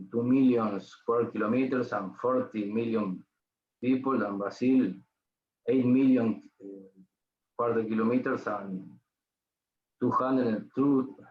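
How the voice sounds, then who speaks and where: With a Spanish accent, a man talks at a fairly slow pace in a medium pitch, leaving long, frequent pauses. His intonation stays fairly even. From Uruguay. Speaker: ENT surgeon. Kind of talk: lecture. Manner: slow, halting.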